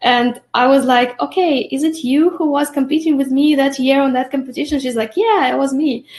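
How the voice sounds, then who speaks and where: At a fairly quick pace and a high pitch, a woman talks with ordinary pitch variation and hardly any pauses. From Belarus. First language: Russian or Belarusian. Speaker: lash artist and trainer. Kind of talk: interview.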